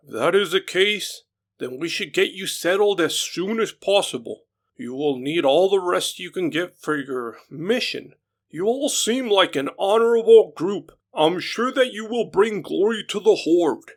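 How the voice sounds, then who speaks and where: A man puts on a character voice with a high pitch. His pitch swings very widely at a moderate pace. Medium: read story. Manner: polite, welcoming.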